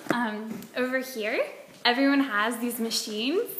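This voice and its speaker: A woman with an American accent talks with fairly even intonation, amid audible room echo and noticeable background noise. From US South, Georgia. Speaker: vlogger. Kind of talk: casual vlog monologue. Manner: casual, filler-heavy.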